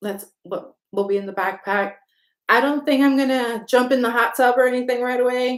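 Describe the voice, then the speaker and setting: A woman speaks loudly at a moderate pace with a high pitch. Her intonation is fairly even. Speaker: travel vlogger. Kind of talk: livestream chat with viewers. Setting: livestream. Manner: casual, rambling with fillers.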